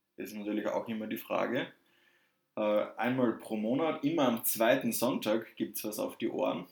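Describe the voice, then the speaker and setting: A man with a slight southern German accent speaks at a moderate pace. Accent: slight southern German coloring. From southern Germany, Würzburg area. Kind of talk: casual chat.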